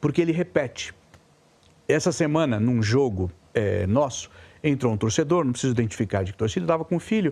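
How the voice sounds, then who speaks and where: A man with a dark, mellow tone and medium pitch talks at a fairly quick pace, his loudness very even while his pitch swings very widely. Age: 60s. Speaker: sports commentator. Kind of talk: casual chat. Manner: animated.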